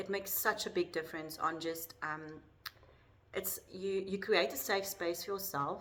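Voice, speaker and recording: A woman with a South African accent speaks at a fairly low pitch. Her tone is bright and sharp. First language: Afrikaans. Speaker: life coach. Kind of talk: personal vlog talk to camera. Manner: hesitant, many fillers.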